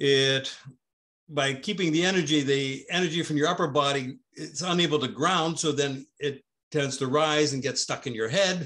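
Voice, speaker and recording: Against a quiet background, a man with a fairly high pitch and a bright, sharp tone speaks at a moderate pace with ordinary pitch variation. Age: 70s. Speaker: tai chi and qigong teacher. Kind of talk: online class with group discussion. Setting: video call. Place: home room. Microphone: webcam.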